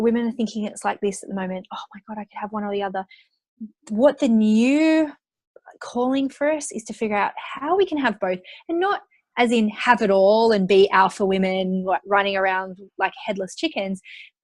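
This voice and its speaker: A woman's fairly high voice in an Australian accent, with lively intonation and big swings in loudness. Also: moderate pace. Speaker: entrepreneur and money mindset coach. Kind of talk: interview.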